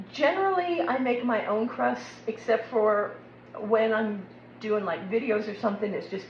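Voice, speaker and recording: There is audible room echo and noticeable background noise around this woman. She talks at a moderate pace in a medium pitch with an American accent and ordinary pitch variation. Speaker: cooking video host. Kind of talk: cooking tutorial. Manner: casual, chatty.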